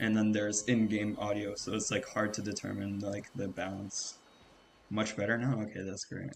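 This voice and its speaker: Soft-spoken and somewhat breathy, a man talks at a moderate pace and a fairly low pitch with monotone, flat intonation. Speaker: gaming streamer. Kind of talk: casual chat. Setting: live stream. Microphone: cheap microphone; volume balance issues.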